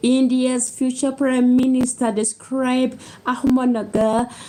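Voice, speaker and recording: Noticeable background noise sits behind this woman's voice. She has a high pitch and a non-native accent. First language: not English. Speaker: book reader on video channel. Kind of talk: reading aloud. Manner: halting, stumbling over words.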